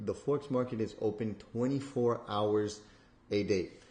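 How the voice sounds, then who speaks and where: A man's somewhat breathy, dark and mellow voice at a medium pitch, with ordinary pitch variation and a fairly slow pace. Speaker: trading educator. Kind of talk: tutorial. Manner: casual with many fillers.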